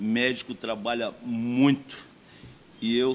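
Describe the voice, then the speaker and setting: The speaker is a man whose voice sits at a medium pitch. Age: 60s. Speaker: doctor and mayoral candidate. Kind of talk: campaign speech.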